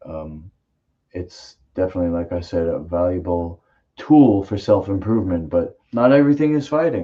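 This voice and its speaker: A man's very deep, low voice with a dark, mellow tone, lively intonation and a moderate pace. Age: 40s. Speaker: martial arts podcast host. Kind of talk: casual chat. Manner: loud.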